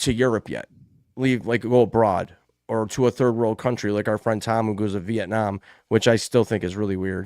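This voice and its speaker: A man with a medium pitch and a dark, mellow tone speaks with fairly even intonation, the sound dry and close with no echo on a very clean recording with a silent background. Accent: American. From United States. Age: 40s. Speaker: podcast host. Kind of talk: casual chat.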